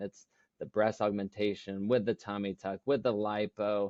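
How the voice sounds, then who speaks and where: A man with an unremarkable speaking voice, fairly low in pitch, at a moderate pace. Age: 40s. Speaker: plastic surgeon. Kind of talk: podcast interview.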